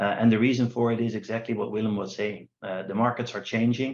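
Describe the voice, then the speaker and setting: Speaking at a fairly quick pace with a Dutch accent, a man talks at a medium pitch with fairly even intonation against a quiet background. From Netherlands. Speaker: company founder presenting a trading platform. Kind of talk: online workshop presentation.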